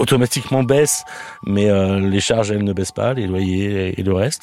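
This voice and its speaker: A man talks in a fairly low voice with ordinary pitch variation. Noticeable background noise can be heard. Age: 40s. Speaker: restaurant owner. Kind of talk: interview testimony. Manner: hesitant, many fillers.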